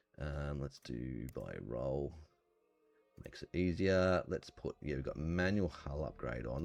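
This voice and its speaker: Backed by music, a man speaks fairly slowly in a very deep, low voice. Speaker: gaming YouTuber. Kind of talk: game commentary. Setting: home recording. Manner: soft-spoken. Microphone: voice can be too quiet.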